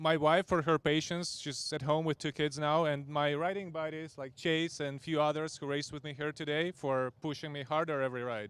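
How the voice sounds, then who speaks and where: With a Ukrainian accent, a man speaks fairly quickly at a fairly high pitch, with fairly even intonation and hardly any pauses. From Ukraine. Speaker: amateur motorcycle racer. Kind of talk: podium interview.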